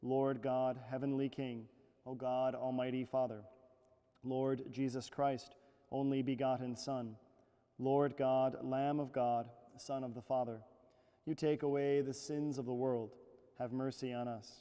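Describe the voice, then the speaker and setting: This man talks at a fairly slow pace with a dark, mellow tone and a monotone, flat delivery. Long pauses come often, and the background is quiet. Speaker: priest leading mass. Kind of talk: liturgical prayer reading. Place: church. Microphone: lapel.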